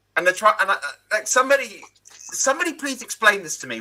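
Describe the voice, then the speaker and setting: Speaking in an English accent, a man keeps a moderate pace. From England. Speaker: panel show host. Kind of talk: casual chat. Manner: animated.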